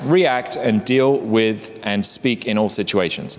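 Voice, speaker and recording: At a fairly slow pace, a man with an English accent speaks over noticeable background noise. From England. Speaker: presenter at a workplace learning session. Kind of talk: casual talk to small group.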